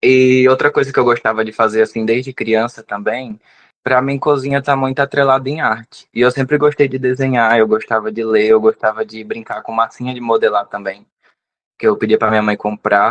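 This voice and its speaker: An unremarkable speaking voice from a man at medium pitch, with fairly even intonation and a moderate pace, a dry, close sound with no echo, and a quiet background. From Brazilian Northeast, Rio Grande do Norte / Ceará border. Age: 20s. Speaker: pastry chef. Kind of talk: interview conversation.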